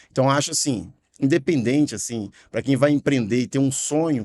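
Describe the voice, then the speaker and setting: Recorded very cleanly against a silent background, with a dry, close sound and no echo, a man with a slight Minas Gerais accent speaks at a moderate pace in a dark, mellow tone. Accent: slight Mineiro. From Minas Gerais, Brazil. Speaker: franchise company director. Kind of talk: podcast discussion.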